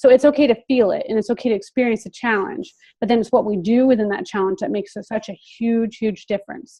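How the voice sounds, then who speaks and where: Somewhat breathy and very fast, the voice carries an American accent and ordinary pitch variation. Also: woman, fairly high pitch for a woman, hardly any pauses. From Philadelphia area, US. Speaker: seminar presenter, life coach. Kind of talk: online seminar talk. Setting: video call. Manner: hesitant, filler-heavy.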